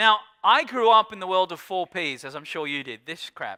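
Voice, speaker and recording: Lively intonation from a man with an Australian accent, his high voice bright and sharp, the sound dry and close with no echo. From rural Australia. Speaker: keynote speaker on digital media. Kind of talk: conference keynote talk. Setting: stage with audience. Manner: fast; animated.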